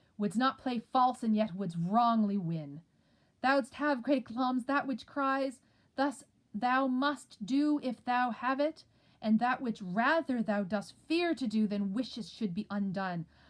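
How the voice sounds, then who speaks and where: Using a put-on character voice, a woman speaks fairly slowly in a high pitch with lively intonation and a raised, projected delivery, on a very clean recording with a silent background. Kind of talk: dramatic Shakespeare reading. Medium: read story.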